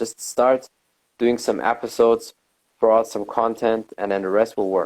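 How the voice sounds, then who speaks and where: This man talks at a fairly quick pace with a non-native accent and a medium pitch. His tone is dark and mellow. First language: not English. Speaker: podcast host. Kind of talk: casual interview chat.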